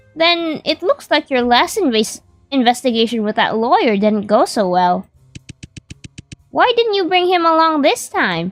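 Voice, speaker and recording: A woman puts on a character voice, pitched high and swinging very widely up and down. She talks at a moderate pace over faint background music. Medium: game stream. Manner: nosy, chatty.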